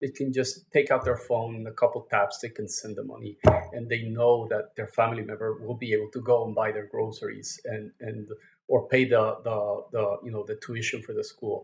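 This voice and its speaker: A man with a Mexican accent and big swings in loudness. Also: fairly quick pace. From Mexico. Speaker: fintech company founder. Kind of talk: podcast interview. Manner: halting, repeats words.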